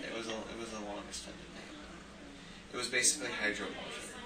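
A man speaks over loud background noise. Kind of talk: casual vlog chat. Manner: drowsy, drugged, slow patient speech.

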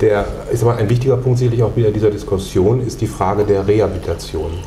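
The speech moves at a fairly quick pace with fairly even intonation. Audible room echo and light background noise are present. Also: man. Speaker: interviewer, channel host. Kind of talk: interview questions. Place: meeting room. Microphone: lapel.

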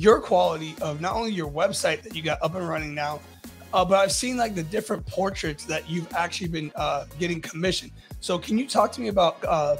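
Faint music plays in the background as a man talks at a fairly quick pace in a high pitch. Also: ordinary pitch variation. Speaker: podcast host. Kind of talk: interview questions and promo. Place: studio. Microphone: studio mic.

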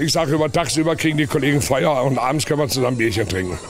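A man speaks at a very fast pace in a dry sound with no echo. Clear music runs in the background. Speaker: market crier selling sausage. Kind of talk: interview answer. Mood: relaxed, jovial. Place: market. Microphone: handheld.

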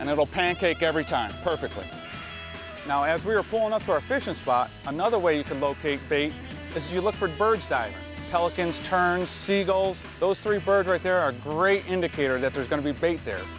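A man with an American accent talks at a fairly quick pace in a fairly high pitch, his intonation lively, the sound dry with no echo and clear music playing in the background. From Florida, USA. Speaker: fishing guide. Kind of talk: instructional demonstration to camera. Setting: outdoors on a boat. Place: boat.

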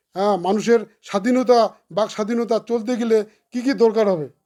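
A man's voice has a dark, mellow tone and ordinary pitch variation. The recording is very clean with a silent background. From Cooch Behar, North Bengal, India. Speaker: independent election candidate. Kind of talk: interview.

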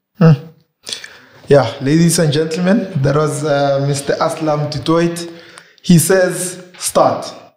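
The speech moves at a very slow pace with fairly even intonation, and room echo is audible. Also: man. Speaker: YouTube show host. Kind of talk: interview conversation. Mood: friendly, smiling. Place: studio.

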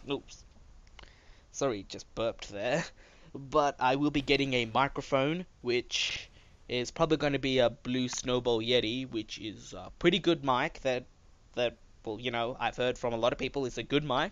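A man's voice at medium pitch and moderate pace, with ordinary pitch variation over a quiet background. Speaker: gaming YouTuber. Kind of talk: gameplay commentary monologue. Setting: home recording. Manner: low-energy.

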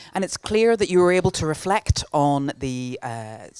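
A moderate pace in a dry recording with no echo and a quiet background. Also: woman. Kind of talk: welcome address. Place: hall. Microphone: handheld.

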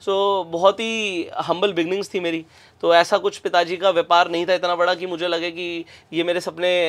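This man talks at a moderate pace in a high, monotone voice with flat intonation. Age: 20s. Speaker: business coach; podcast guest, business coach. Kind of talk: interview conversation. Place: studio. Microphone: lapel.

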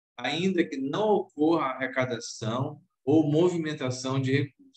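A man speaks against a quiet background, with audible room echo around his voice. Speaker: judge reporting a case. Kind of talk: formal legal vote reading. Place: office. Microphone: webcam.

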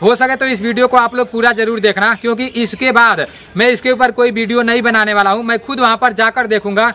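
A man speaks in a raised, projected voice at a moderate pace, flat and monotone, with hardly any pauses. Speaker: fitness vlogger for army recruitment. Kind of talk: casual vlog chat. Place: street.

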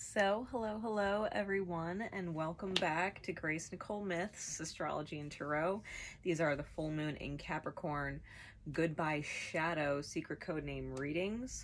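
An ordinary speaking voice at a fairly slow pace, with ordinary pitch variation and light background noise. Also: woman, fairly low pitch for a woman. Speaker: tarot reader. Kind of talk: tarot reading monologue. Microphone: camera far.

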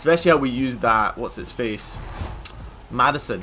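A man's fairly quick speech, with ordinary pitch variation, plays against music in the background. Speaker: gaming YouTuber. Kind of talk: gameplay commentary. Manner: loud; casual, chatty. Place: home room.

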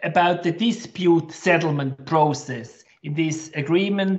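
A fairly slow pace with ordinary pitch variation. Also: man. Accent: German. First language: German. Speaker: chamber of commerce director. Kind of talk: webinar moderation. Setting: video call.

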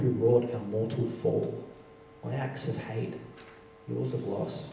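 A man's fairly even intonation at a fairly slow pace, with audible room echo and light background noise. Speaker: poet performer. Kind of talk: poetry reading. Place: stage.

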